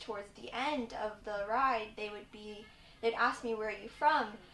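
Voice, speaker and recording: A fairly high-pitched woman with an American accent and fairly even intonation, heard with audible room echo. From Virginia, US (Richmond). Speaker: university student. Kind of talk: personal story.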